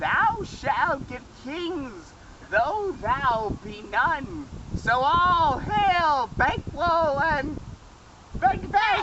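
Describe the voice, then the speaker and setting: A put-on character voice speaks at a very slow pace. Clear background noise can be heard. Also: female-sounding voice, high pitch for a woman. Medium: stage play.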